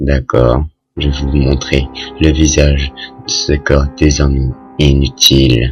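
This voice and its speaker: Over faint music in the background, a man does a put-on character voice that is raspy and very deep and low in pitch, speaking at a fairly slow pace. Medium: read story. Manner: calm, unhurried, softly menacing.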